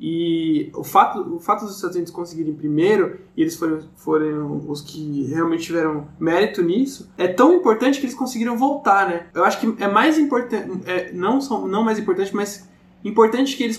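Over noticeable background noise, a man speaks in a high voice with very wide pitch swings. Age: 20s. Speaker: podcast guest. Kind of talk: casual chat. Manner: halting.

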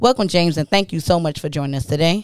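Recorded very cleanly against a silent background, a woman uses an ordinary speaking voice at a fairly low pitch with ordinary pitch variation. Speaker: student podcast host. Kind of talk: casual interview.

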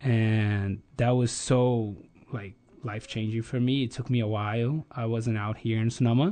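This man has a dark, mellow tone and a medium pitch. He speaks with a Brazilian accent at a moderate pace, his intonation fairly even. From Brazil, Rio de Janeiro. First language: Portuguese. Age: 30s. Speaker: energy company planning specialist, former exchange student. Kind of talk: casual interview. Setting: studio. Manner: halting, frequent repetitions.

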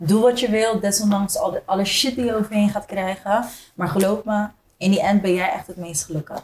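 Here is a plain, everyday voice from a woman at a medium pitch. She speaks at a moderate pace with fairly even intonation. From Zoetermeer / The Hague area, Netherlands. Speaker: DJ and entrepreneur. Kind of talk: casual interview chat.

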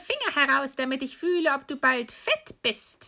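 A woman's high, raised and projected voice at a moderate pace. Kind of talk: bedtime story telling.

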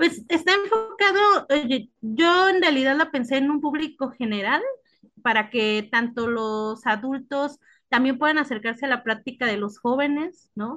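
A woman with a high pitch and a bright, sharp tone speaks at a fairly slow pace with very wide pitch swings over a quiet background. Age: 30s. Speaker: art curator. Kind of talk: interview.

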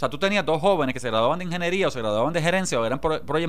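Very fast and with lively intonation, a man talks in a Puerto Rican accent. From Puerto Rico, Jayuya. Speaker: politician, legislator. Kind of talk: radio interview, political analysis.

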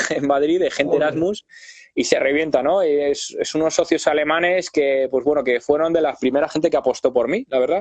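This man has an unremarkable speaking voice, fairly high in pitch, delivered at a fairly quick pace with fairly even intonation. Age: 30s. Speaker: drummer and YouTuber. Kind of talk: casual interview chat. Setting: online live video call.

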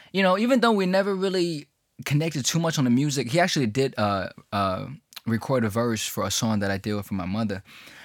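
The speaker has a New York accent and talks at a very fast pace. The pitch swings very widely. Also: man, medium pitch for a man. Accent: New York American English. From China (Hubei), then New York from age 11. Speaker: rapper. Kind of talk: casual interview.

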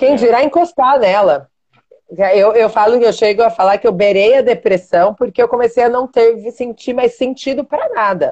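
The woman has an unremarkable speaking voice with a fairly high pitch. She talks at a moderate pace with ordinary pitch variation. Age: 40s. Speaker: jiu-jitsu athlete. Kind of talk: casual chat.

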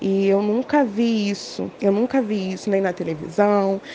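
There is noticeable background noise. The delivery is fairly slow. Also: woman. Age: 20s. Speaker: law student. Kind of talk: interview.

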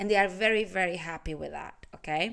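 A woman's animated, medium-pitched voice with vocal fry. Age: 30s. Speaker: life and business coach, podcast host. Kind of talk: motivational monologue.

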